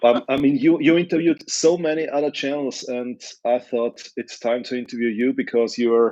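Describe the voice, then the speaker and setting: A fairly high-pitched man's voice with a dark, mellow tone and an Austrian accent, at a moderate pace with hardly any pauses and ordinary pitch variation. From Lower Austria. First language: German. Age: 60s. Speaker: youtuber. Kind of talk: interview.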